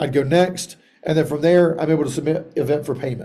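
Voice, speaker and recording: A man with a fairly high pitch and a dark, mellow, somewhat breathy tone races along at a very fast pace with fairly even intonation. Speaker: software trainer for wrestling coaches. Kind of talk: online training tutorial.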